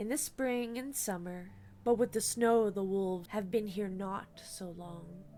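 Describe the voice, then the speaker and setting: A woman uses a put-on character voice at a medium pitch. Her loudness swings widely from moment to moment. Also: moderate pace. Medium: read story. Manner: nervous, broken phrasing.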